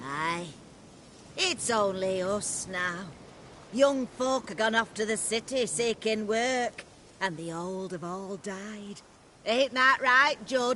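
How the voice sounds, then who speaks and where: Using a put-on character voice at a medium pitch, a woman speaks fairly slowly with long, frequent pauses over clear background noise. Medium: video game. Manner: folksy, rustic dialect.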